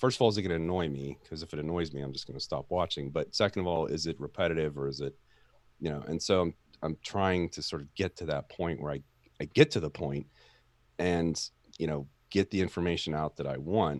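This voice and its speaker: Over background music, a man talks at a fairly quick pace in a very deep, low voice. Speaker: tech YouTuber. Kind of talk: casual chat. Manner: monotone.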